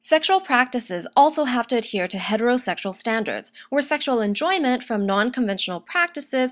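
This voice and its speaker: A woman's high pitch with very wide pitch swings and hardly any pauses. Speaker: university student. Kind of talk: academic video essay narration. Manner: fast.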